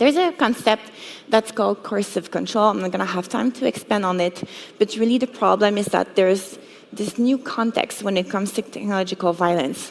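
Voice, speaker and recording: A woman with a French accent talks at a fairly quick pace, at medium pitch with ordinary pitch variation. Noticeable background noise runs underneath. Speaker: cybersecurity educator. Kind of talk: conference talk.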